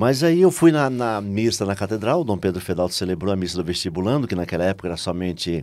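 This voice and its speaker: In a very clean recording with a silent background, a man with a fairly low voice races along at a very fast pace, his intonation lively and hardly any pauses. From Brazil, Salvador, Bahia. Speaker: lay missionary and preacher. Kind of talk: testimony.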